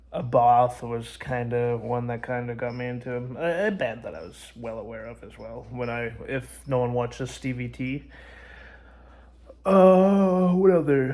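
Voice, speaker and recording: A man speaks quietly at a fairly slow pace, his medium-pitched voice dark and mellow, with ordinary pitch variation, big swings in loudness and audible room echo. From Canada. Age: 20s. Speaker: music vlogger. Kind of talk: casual vlog monologue. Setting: at grandma's house. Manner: halting, many fillers; kept down, quiet.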